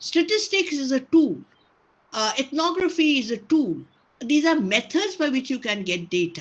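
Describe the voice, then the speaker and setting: Against a quiet background, a woman with a Bengali accent talks at a moderate pace in a high pitch, with very wide pitch swings. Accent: Indian English, Bengali. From India, Bengal. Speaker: sociology professor. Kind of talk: lecture Q&A. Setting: video call. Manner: hesitant, many fillers.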